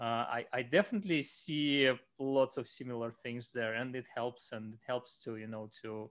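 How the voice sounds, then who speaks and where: The man's voice sits at a medium pitch. He talks fairly slowly. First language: Romanian, then Russian. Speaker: bookbinder. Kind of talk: casual chat. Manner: halting, many repetitions and fillers.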